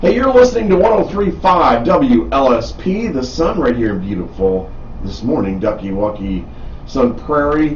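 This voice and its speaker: Someone speaks with an American accent over noticeable background noise and audible room echo. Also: man, moderate pace. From Wisconsin, Milwaukee. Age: 60s. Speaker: radio host. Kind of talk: casual chat. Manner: animated.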